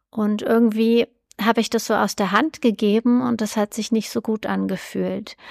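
A woman talks at a fairly high pitch in a monotone, flat intonation. The recording is very clean, with a silent background. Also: moderate pace, dry, close sound with no echo. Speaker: nutrition podcast host. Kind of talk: solo podcast monologue. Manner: hesitant, many filler sounds.

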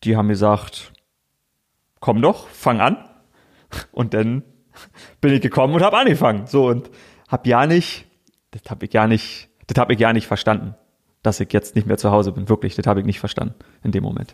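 In a very clean recording with a silent background, a man of medium pitch speaks with a strong Berlin-Brandenburg accent, leaving long, frequent pauses. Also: ordinary pitch variation, fairly quick pace. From Brandenburg, Königs Wusterhausen near Berlin. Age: 30s. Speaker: sports TV presenter. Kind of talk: casual interview chat.

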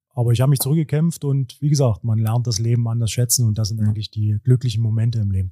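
A man's dark, mellow, somewhat breathy voice with a Brandenburg accent, very fast with hardly any pauses, fairly even in intonation, with a dry, close sound with no echo. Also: medium pitch for a man. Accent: Cottbus-area Brandenburg dialect, noticeable. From Cottbus, Lower Lusatia (Brandenburg). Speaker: handball club sporting director, former coach. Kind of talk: casual interview.

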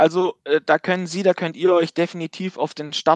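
Sound is dry and close, without echo. The man speaking has a high pitch. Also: quiet background. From Baden-Württemberg. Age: 30s. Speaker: insurance company managing director. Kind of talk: interview.

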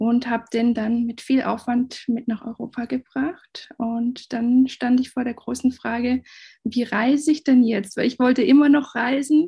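A woman speaks at a fairly slow pace with a high pitch and a dark, mellow tone. Her intonation stays fairly even over a quiet background. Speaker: van traveller and travel blogger. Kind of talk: interview answers.

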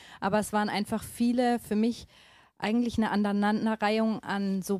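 Captured in a very clean recording with a silent background and dry, close sound with no echo, a woman speaks with a fairly high pitch and a dark, mellow tone. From northern Germany. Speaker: missionary. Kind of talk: interview.

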